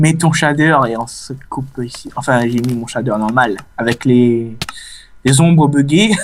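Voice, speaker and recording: Speaking with a Réunion accent, a man keeps a fairly slow pace. His voice sits at medium pitch with ordinary variation. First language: Réunion Creole (speaking French). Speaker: gaming YouTuber. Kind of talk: casual let's play commentary. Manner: hesitant, many fillers.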